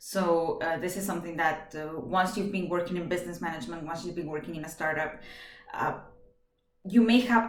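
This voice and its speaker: A woman with a Venezuelan accent at a moderate pace, with audible room echo. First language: Spanish. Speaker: job applicant. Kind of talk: video job application. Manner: hesitant, many fillers; energetic.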